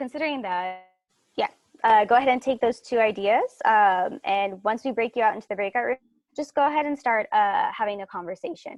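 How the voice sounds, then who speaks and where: With a fairly high pitch and ordinary pitch variation, a woman talks at a fairly quick pace in a dry, close sound with no echo. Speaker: teacher presenting a workshop. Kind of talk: workshop presentation. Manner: fast.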